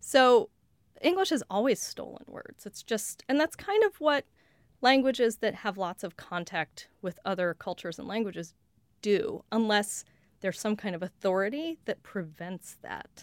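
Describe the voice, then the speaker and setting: A woman with a Western US accent, fairly high pitch, lively intonation and big swings in loudness, in a very clean, silent recording with a dry, close sound and no echo. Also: moderate pace. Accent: general Western American. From US West (Colorado). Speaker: lexicographer. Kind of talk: casual interview. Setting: studio.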